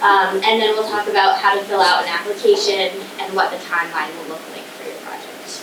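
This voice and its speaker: A woman speaks at a medium pitch and a fairly quick pace, with fairly even intonation and big swings in loudness. Noticeable background noise and audible room echo surround her. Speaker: state historic preservation administrator. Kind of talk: presentation. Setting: community hall presentation with audience, no microphone.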